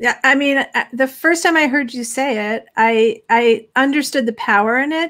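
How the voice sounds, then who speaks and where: Over a quiet background, a woman speaks in a high voice. Her pitch varies in an ordinary way. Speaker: parenting magazine host. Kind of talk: interview. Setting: live stream. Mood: earnest, reflective. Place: home room.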